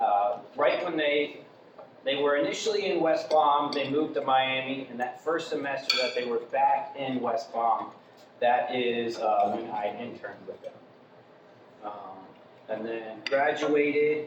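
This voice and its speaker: A man with an American accent talks amid noticeable background noise and audible room echo. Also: fairly high pitch for a man, ordinary pitch variation, fairly slow pace. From Florida, Vero Beach. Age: 30s. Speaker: new member of an organization, former radio host. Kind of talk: self-introduction talk. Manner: hesitant, many fillers.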